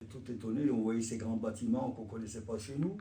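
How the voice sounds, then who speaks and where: Somewhat breathy, a man speaks with a dark, mellow tone amid audible room echo. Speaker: immigrant witness. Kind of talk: testimony. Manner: halting.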